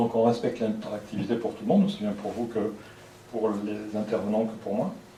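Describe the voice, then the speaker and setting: A man of medium pitch speaks with ordinary pitch variation amid noticeable background noise and audible room echo. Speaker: lecturer. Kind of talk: lecture. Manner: fast; soft-spoken.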